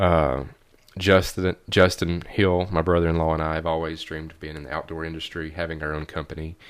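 A man with a very deep, low pitch and a Tennessee accent, at a moderate pace, on a very clean recording with a silent background. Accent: Southern US (Tennessee). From Middle Tennessee, near Kentucky line. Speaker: realtor and outdoor video maker. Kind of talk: casual chat. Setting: at host's house.

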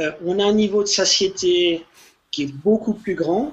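A man talking at a fairly slow pace. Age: 40s. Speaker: ultra-runner and snack entrepreneur. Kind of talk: casual interview.

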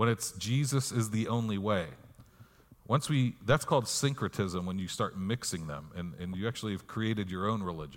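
Using an ordinary speaking voice, a man speaks at a moderate pace and a medium pitch with lively intonation. The recording is very clean, with a silent background. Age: 40s. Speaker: pastor. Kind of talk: sermon. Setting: church.

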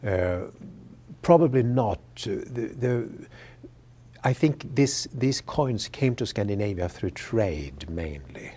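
A man's very slow, somewhat breathy voice in a Swedish accent, dark and mellow in tone, with very wide pitch swings and long, frequent pauses. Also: medium pitch for a man. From Sweden. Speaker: history professor. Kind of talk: interview. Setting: studio webcast. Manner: halting, with frequent repetitions.

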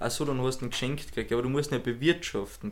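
A man with a medium-pitched voice speaks with vocal fry. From Austria. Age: 20s. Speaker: podcast co-host. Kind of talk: casual chat.

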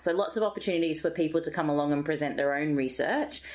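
Speaking very fast with an Australian accent, a woman uses a very deep, low pitch and fairly even intonation. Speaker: health psychologist, associate professor. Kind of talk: interview. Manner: hesitant with frequent fillers.

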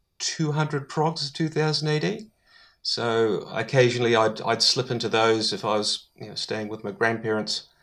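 Recorded very cleanly over a silent background, a man with a New Zealand accent speaks at medium pitch and a moderate pace. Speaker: podcaster, guest. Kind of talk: casual chat.

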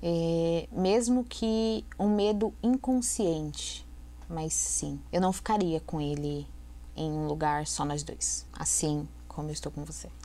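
The speech is very slow, with audible room echo. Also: woman. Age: 30s. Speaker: domestic violence survivor. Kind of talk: testimony.

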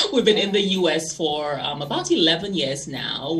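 With ordinary pitch variation and a moderate pace, a woman speaks as noticeable background noise carries on. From St. Lucia, Caribbean. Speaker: fashion magazine editor and publisher. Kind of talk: interview.

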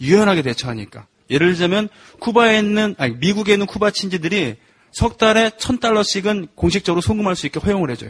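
A man with a high voice talks very fast, his intonation lively and bouncing. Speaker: folk protest singer. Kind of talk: casual chat.

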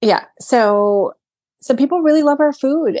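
A woman speaks in a New York accent with lively intonation. The background is quiet. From US Northeast, Brooklyn, New York City. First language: Greek. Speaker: event planner and restaurant owner. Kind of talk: interview.

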